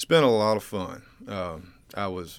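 A man speaks with a Georgia accent. His intonation stays fairly even. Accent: Georgia Southern. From US South, eastern Georgia (Burke County). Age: 30s. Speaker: local political candidate, insurance agent. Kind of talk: radio interview. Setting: studio. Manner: formal and polite.

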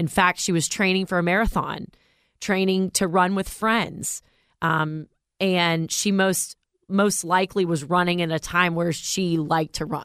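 A woman with a plain, everyday voice talks at a fairly slow pace in a fairly low pitch with fairly even intonation, on a very clean recording with a silent background. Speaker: radio co-host, fashion commentator. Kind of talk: casual chat. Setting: studio.

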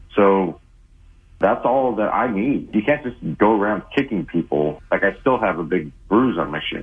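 A man talks with lively intonation at a moderate pace. Music plays in the background. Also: fairly low pitch for a man. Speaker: caller. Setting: phone call.

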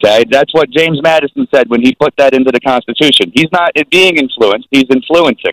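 A man with an American accent talks at a fairly quick pace and a fairly high pitch, with lively intonation and hardly any pauses. The loudness stays very even, and the sound is dry and close with no echo. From New Jersey. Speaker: caller. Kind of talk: call-in political argument.

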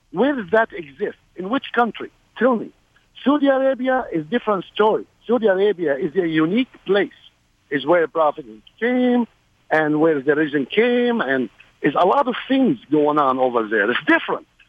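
A man with a Middle Eastern accent speaks at a high pitch. His pace is moderate, with very wide pitch swings. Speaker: caller, army veteran. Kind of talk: call-in radio talk. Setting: phone call.

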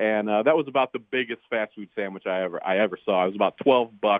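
This man talks at a fairly quick pace. His pitch is fairly low, with ordinary pitch variation. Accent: American. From US South. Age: 30s. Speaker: caller. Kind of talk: radio call-in. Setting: phone call.

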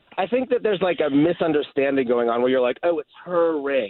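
A man talks at a fairly quick pace. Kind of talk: live radio call-in, casual and sheepish. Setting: phone call. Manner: sheepish, rambling, self-deprecating.

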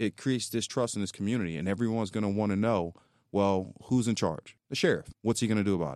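A plain, everyday voice belongs to a man with an American accent, a fairly low pitch and ordinary pitch variation, speaking at a fairly quick pace. The recording is very clean with a silent background and a dry, close sound with no echo. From North Philadelphia, US. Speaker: county sheriff. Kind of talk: radio interview. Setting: radio studio.

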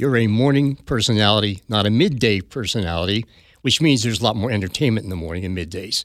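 In a very clean recording with a silent background, a man with an American accent talks at a very fast pace. His pitch is fairly low with ordinary variation. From South Jersey, US. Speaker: veteran radio DJ, father of host. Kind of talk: casual on-air interview, storytelling. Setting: radio studio broadcast.

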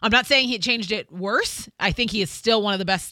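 A woman's medium-pitched voice, bright and sharp in tone, in a very clean recording with a silent background. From Nashville area. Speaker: radio co-host. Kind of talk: casual chat. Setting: studio.

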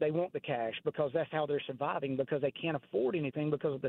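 Here a man talks with a Southern US accent. His pitch is fairly high. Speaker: caller. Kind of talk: casual chat. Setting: phone call.

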